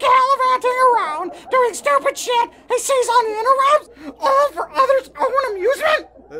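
A raspy, cartoonish character voice comes through. It moves at a moderate pace. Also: man, extremely high pitch for a man, hardly any pauses. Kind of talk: crude puppet comedy. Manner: loud, melodramatic, whiny.

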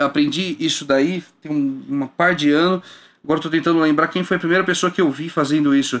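A man races along very fast, his pitch kept mostly level. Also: fairly high pitch for a man. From Brazil. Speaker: bass player and music entrepreneur; guest. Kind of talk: casual interview. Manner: halting with repeated words. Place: studio. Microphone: studio mic.

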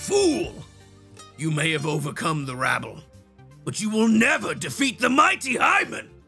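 Over faint music in the background, a man with a fairly high pitch speaks at a moderate pace. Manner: boastful, menacing, shouting.

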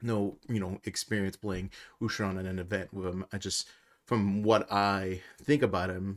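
In a quiet background, a man speaks at a fairly low pitch with monotone, flat intonation. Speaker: tabletop game content creator. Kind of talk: casual commentary.

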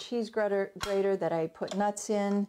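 A woman speaks at a moderate pace with light background noise behind her. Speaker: home cooking instructor. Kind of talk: tutorial. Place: kitchen.

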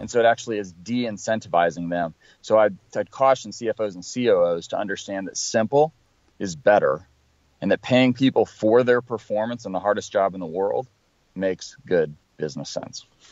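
A man with a plain, everyday voice speaks at a fairly low pitch and moderate pace. His pitch varies in an ordinary way while his loudness swings widely. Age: 40s. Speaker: sales consultant and trainer. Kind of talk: interview.

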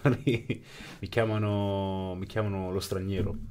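A man's voice with a fairly low pitch. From northern Italy, Brescia (born in Pakistan); northern Italy. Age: 20s. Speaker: interviewee, Pakistani-born immigrant; interviewee. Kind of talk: interview. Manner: halting, many repetitions. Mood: thoughtful, reflective. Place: studio. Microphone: studio mic.

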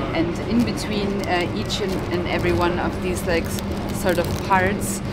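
A woman talks at a moderate pace, with music playing behind her. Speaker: travel vlogger. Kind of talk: casual vlog chat. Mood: excited and cheerful. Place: train. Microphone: phone near.

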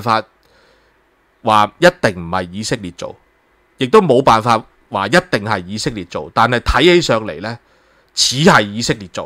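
With a bright, sharp tone and medium pitch, a man talks at a moderate pace, his intonation lively and loudness swinging widely. The sound is dry and close with no echo, and his pauses are long and frequent. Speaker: political commentary host. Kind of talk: solo news commentary. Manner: animated, with many filler sounds.

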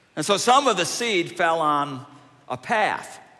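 A man talks with lively intonation, keeping to a fairly slow pace. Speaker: preacher. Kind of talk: sermon. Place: church. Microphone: headset.

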